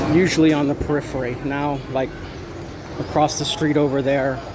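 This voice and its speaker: A man's medium-pitched, flat, monotone voice amid noticeable background noise and audible room echo. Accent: American. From United States. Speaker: expat vlogger, military veteran. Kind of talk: casual vlog monologue. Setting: outdoors, walking down a street.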